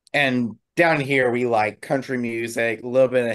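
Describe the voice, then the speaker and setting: A man talks at a moderate pace, and the background stays quiet. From South Carolina, Conway; South Carolina. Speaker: hobby DJ; guest. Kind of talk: casual chat. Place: home room. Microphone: video call.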